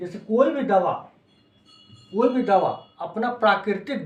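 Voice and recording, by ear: A man talks with lively intonation. Audible room echo is present in the recording.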